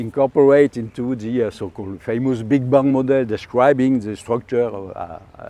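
Speaking with a French accent at a moderate pace and hardly any pauses, a man uses a medium pitch, ordinary pitch variation and a dark, mellow tone, with big swings in loudness and a dry sound with no echo. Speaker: astrophysicist. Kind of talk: interview answer. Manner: hesitant, many filler sounds. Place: garden.

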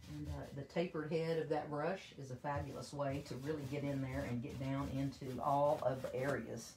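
Light background noise sits behind a woman talking at a moderate pace. Her pitch is very deep and low. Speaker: paint company presenter demonstrating products. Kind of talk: live-stream tutorial. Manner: speaking up loudly for the stream. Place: home room. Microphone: phone near.

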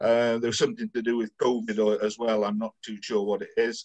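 Speaking with a Welsh accent, a man uses a medium pitch and ordinary pitch variation at a moderate pace. The background is quiet. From Wales. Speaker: club event organiser. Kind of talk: casual chat. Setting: video call. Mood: jokey, playful. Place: home room. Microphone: video call.

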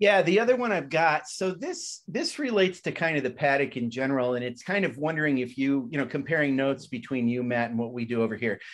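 Over a quiet background, a man with an American accent talks at a very fast pace. His pitch is fairly high and his intonation lively. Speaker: podcast co-host. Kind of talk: casual interview chat.

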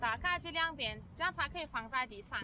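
A woman's voice sounds dry with no echo, though noticeable background noise is present. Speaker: cycling vlogger. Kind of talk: tutorial. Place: open country.

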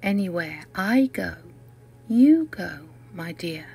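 Over music in the background, a woman in a British accent speaks at a medium pitch and a very slow pace. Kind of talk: poetry reading.

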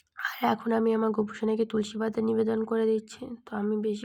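A woman's voice, fairly high in pitch. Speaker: devotional vlogger. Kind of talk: home vlog narration. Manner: halting.

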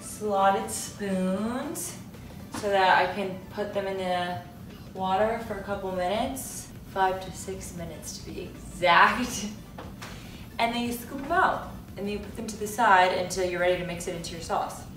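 A woman speaks at a moderate pace with ordinary pitch variation and big swings in loudness, over noticeable background noise and audible room echo. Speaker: host cooking. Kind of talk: tutorial. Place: kitchen.

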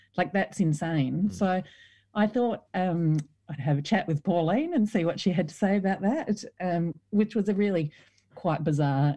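Somewhat breathy and dark, mellow in tone, this voice has an Australian accent and ordinary pitch variation. It moves at a moderate pace against a quiet background. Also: woman. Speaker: former politician and author. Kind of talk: interview.

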